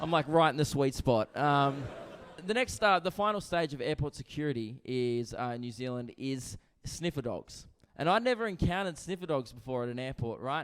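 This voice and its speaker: In an Australian accent, a man speaks at a fairly high pitch. He moves at a fairly quick pace with lively intonation. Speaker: stand-up comedian. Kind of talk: stand-up. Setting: stage with audience. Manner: animated.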